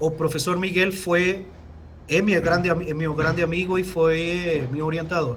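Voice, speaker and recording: Here a man speaks in a high voice at a moderate pace, with monotone, flat intonation. Audible room echo and noticeable background noise are present. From Venezuela. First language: Spanish (speaking Portuguese). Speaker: engineer, company technical director. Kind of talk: webinar Q&A answer.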